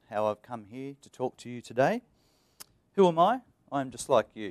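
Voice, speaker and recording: The recording of this man's medium-pitched voice is dry and close with no echo. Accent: Australian. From Australia. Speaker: IT engineer, conference speaker. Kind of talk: conference presentation.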